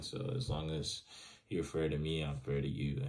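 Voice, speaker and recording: Moving at a moderate pace, a man's very deep, low voice carries vocal fry and very wide pitch swings. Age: 20s. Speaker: student. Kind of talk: reading questions and answering them, casual monologue. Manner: casual, many fillers.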